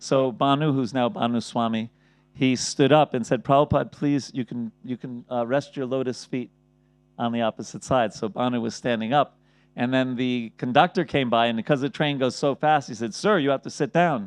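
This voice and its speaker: A man's voice at medium pitch and a moderate pace. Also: ordinary pitch variation. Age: 60s. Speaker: spiritual teacher. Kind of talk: lecture. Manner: halting.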